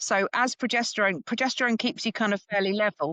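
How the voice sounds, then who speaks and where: A woman with an English accent, lively intonation, and a dry, close sound with no echo. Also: quiet background. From England. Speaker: perimenopause educator. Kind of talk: interview.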